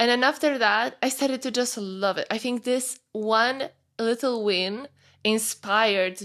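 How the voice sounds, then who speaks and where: In a Polish accent, a woman speaks at a fairly slow pace with a fairly high pitch and fairly even intonation, on a very clean recording with a silent background. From Poland, small mountain town. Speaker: fitness coach. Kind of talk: podcast interview. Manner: halting.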